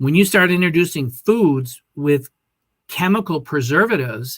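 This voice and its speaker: A man talks at a moderate pace with lively intonation in an ordinary speaking voice. The recording is very clean, with a silent background. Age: 60s. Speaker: health and wellness coach. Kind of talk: interview.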